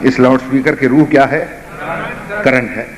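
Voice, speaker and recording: A man's voice amid noticeable background noise. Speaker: Shia religious scholar. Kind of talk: storytelling sermon address to audience. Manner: emotional, impassioned.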